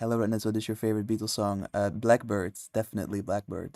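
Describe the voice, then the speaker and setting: Soft-spoken and fairly low in pitch, a man talks in a monotone, flat way with a dark, mellow tone. The sound is dry and close with no echo, on a very clean recording with a silent background. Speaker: music producer livestreamer. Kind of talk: casual livestream chat. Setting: livestream from home, early morning. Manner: quiet, soft-spoken.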